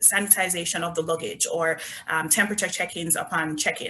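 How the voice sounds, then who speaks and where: Speaking fairly quickly in a Jamaican accent, a woman keeps a fairly low pitch and fairly even intonation. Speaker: resort company representative. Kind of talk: sales presentation.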